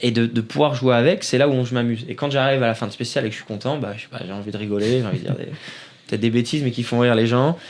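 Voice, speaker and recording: A man at a very fast pace, with medium pitch and ordinary pitch variation. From northern France (Nord, Seclin). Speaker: rally driver. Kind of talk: interview. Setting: studio. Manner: halting.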